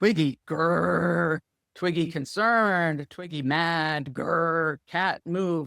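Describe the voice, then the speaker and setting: A man does a put-on character voice, growling at a fairly high pitch and a very slow pace. The recording is very clean, with a silent background. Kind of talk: simplified broken speech.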